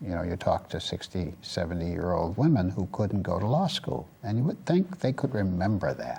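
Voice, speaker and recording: A man with a fairly low pitch and a dark, mellow tone sounds somewhat breathy. He talks at a fairly quick pace with very wide pitch swings. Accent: American. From US Midwest, Detroit. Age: 60s. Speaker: community advocate and former state senator. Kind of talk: interview.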